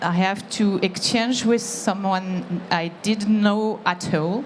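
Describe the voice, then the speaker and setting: Noticeable background noise sits behind a woman speaking at a very slow pace with a French accent. Her pitch is medium and her intonation fairly even. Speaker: employee giving testimonial. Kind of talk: testimony. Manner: halting.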